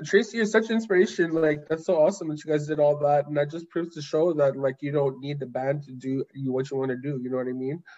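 A normal speaking voice moves at a fairly quick pace, with big swings in loudness and ordinary pitch variation. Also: man. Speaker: language program manager. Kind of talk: casual interview.

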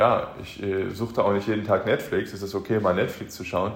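Somewhat breathy and fairly low in pitch, a man speaks at a fairly quick pace in a monotone, flat intonation, with audible room echo. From Germany, Aachen. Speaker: podcast host, motivational speaker. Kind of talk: motivational monologue.

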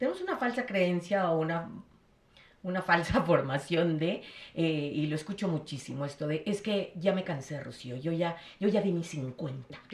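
A somewhat breathy woman talks at a fairly slow pace in a fairly low pitch with ordinary pitch variation. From Mexico City. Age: 50s. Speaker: gestalt psychotherapist. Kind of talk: casual chat.

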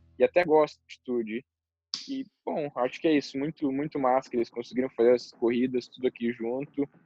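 A man with a normal speaking voice talks at a fairly quick pace and medium pitch, his intonation fairly even. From southern Brazil. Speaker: professional motocross rider. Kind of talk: interview. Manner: casual.

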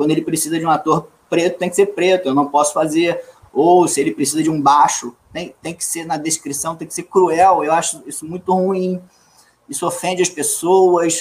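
Speaking at a moderate pace, a man with a high voice keeps a monotone, flat intonation while his loudness swings widely. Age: 40s. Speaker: actor. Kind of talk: casual chat.

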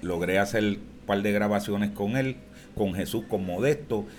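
At a moderate pace, a man uses an unremarkable speaking voice with a fairly low pitch and ordinary pitch variation. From Puerto Rico, Barrio Obrero, San Juan. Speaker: plena singer. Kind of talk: casual interview.

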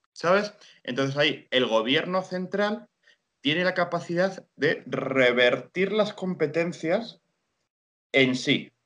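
Speaking very slowly, a man uses a high pitch and lively intonation. His loudness stays very even. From Spain, Guadalajara (Castilla-La Mancha). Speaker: historian and journalist. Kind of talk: interview.

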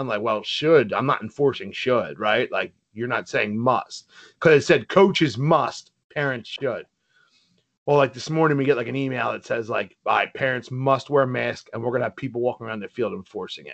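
A man with an American accent talks at a moderate pace in a medium pitch, with ordinary pitch variation and big swings in loudness. It is an unremarkable speaking voice over a quiet background. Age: 30s. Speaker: podcast co-host. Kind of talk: casual chat.

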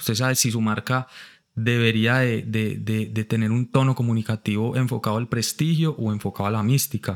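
At a moderate pace, a man with a paisa accent speaks at a medium pitch in a very clean recording with a silent background. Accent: paisa (Medellín) Colombian Spanish. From Colombia, Pereira and Bogotá. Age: 30s. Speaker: advertising creative and artist. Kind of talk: casual interview chat. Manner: animated, repetitive.

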